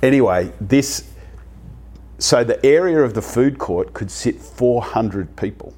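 Taking a fairly slow pace, a man talks in an Australian accent. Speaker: convenience retail expert. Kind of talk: interview. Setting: hotel room.

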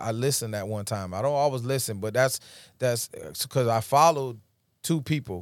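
A man with an American accent speaks in a normal speaking voice at a medium pitch and a fairly quick pace. His pitch variation is ordinary, and the recording is very clean with a silent background. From upstate New York, Rochester. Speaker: DJ and ministry speaker. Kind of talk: testimony. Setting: studio.

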